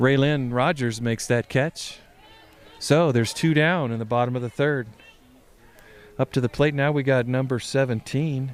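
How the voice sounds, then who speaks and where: Speaking at a moderate pace with long, frequent pauses, a man keeps a medium pitch and fairly even intonation. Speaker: parent softball commentator. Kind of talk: live commentary. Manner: soft-spoken; casual.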